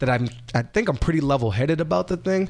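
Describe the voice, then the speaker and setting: Lively in intonation and fairly quick in pace, a man talks in an ordinary speaking voice. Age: 30s. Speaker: writer and comedian. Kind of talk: casual chat.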